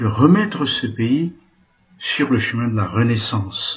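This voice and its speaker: With very wide pitch swings, this man talks very slowly. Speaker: Jesuit priest. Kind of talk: political address. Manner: impassioned.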